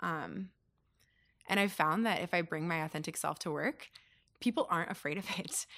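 Her fairly low voice carries a bright, sharp tone with vocal fry. She leaves long, frequent pauses. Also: ordinary pitch variation, moderate pace. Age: 20s. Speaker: logistics professional. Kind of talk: interview conversation.

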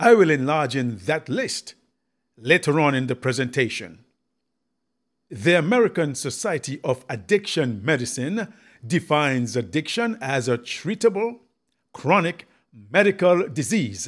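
A man speaks in a solemn tone at a fairly high pitch, moving at a fairly slow pace with very wide pitch swings and long, frequent pauses. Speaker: evangelist radio preacher. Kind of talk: fiery sermon with prayer and altar-call style appeals. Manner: emphatic, pleading, rhetorical; direct address with call-and-response prompts; solemn and formal, with cadenced, scripture-laden delivery.

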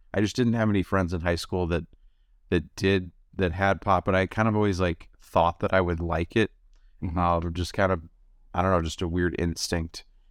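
A man's very deep, low voice at a moderate pace, with fairly even intonation. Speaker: former marijuana addict sharing recovery story. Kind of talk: interview. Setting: video call. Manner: laid-back, mellow.

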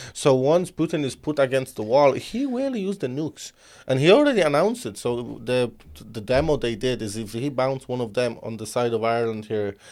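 A man with a medium-pitched voice and lively intonation, recorded very cleanly against a silent background. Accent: non-native. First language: not English. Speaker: podcast host. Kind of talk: casual interview chat. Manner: animated.

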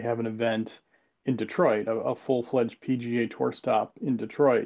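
A man's medium-pitched, normal speaking voice at a moderate pace, with fairly even intonation. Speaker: sports business journalist. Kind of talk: casual interview chat.

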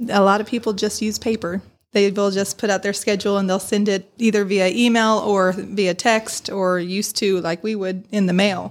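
With an American accent, a woman speaks at a moderate pace in a monotone, flat intonation, hardly pausing at all. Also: medium pitch for a woman. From South Bend, Indiana, US Midwest. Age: 30s. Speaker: church music assistant and teacher. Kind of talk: casual chat. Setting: studio.

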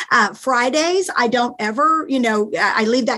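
Energetic and animated, a woman talks at a moderate pace with a high pitch. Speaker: author and coach. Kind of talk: casual interview. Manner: energetic, animated.

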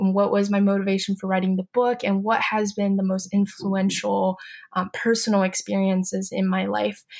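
At a moderate pace, a woman speaks in a somewhat breathy voice of medium pitch with monotone, flat intonation. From Beijing, China. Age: young. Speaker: student and YouTuber. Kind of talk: interview.

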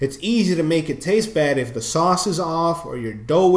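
The speaker talks at a moderate pace with lively intonation. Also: man. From New York. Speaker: podcast co-host. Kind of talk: casual chat.

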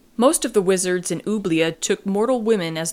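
A woman talks at a moderate pace with ordinary pitch variation in a normal speaking voice. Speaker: podcast host. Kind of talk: casual book-review chat.

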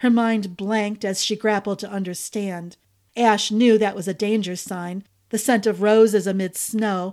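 Speaking at a fairly slow pace, a woman with a fairly high pitch has a normal speaking voice, captured in a very clean recording with a silent background. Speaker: podcast narrator. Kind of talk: scripted narration; fantasy story narration, read aloud like a bedtime tale. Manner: storyteller's pace, hushed and atmospheric during the snow scene.

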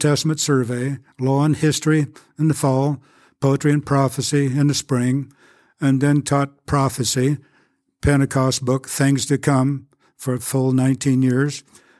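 A man speaks at a moderate pace in a fairly high pitch with a dark, mellow tone and monotone, flat intonation. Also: very clean recording, silent background. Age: 80s+. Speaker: retired Bible professor. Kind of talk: interview.

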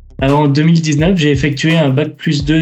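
A man's fairly high voice in monotone, flat intonation at a moderate pace, with audible room echo. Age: 20s. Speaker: cybersecurity analyst. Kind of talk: interview testimony.

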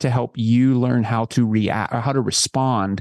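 A man speaks in a normal speaking voice at a medium pitch, with fairly even intonation. The sound is dry and close, with no echo. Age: 40s. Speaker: author and family psychologist. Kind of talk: interview.

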